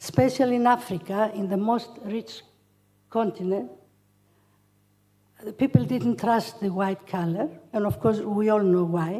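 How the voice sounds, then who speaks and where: With a Greek accent, a woman speaks at a medium pitch and moderate pace with ordinary pitch variation. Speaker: charity founder. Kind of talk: acceptance speech. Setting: hotel hall with audience. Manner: halting.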